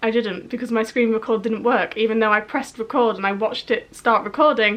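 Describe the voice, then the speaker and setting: A woman speaks at a very fast pace with a slight Yorkshire accent. Her pitch sits fairly high. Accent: slight northern English (Yorkshire). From northern England, Yorkshire. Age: 20s. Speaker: YouTube vlogger. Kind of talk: casual vlog storytelling.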